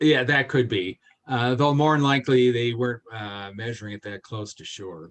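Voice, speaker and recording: A man with an unremarkable speaking voice, medium pitch, ordinary pitch variation, big swings in loudness and a moderate pace. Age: 60s. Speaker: space warfare expert. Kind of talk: lecture.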